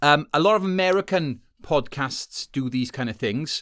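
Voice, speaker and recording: A Welsh-accented man with lively intonation, on a very clean recording against a silent background. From Wales. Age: 30s. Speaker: podcast host. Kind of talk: solo podcast monologue. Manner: casual, with frequent fillers.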